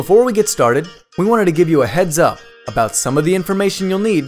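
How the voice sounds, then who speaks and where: Over music in the background, a man speaks very fast at a fairly high pitch. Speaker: voice-over artist. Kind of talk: explainer video narration.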